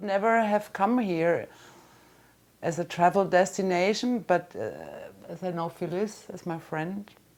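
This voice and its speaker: With a German accent, a woman speaks at a medium pitch and fairly slow pace, with fairly even intonation. Her loudness swings widely, and she pauses long and often. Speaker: friend of the comedian. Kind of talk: interview. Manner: halting.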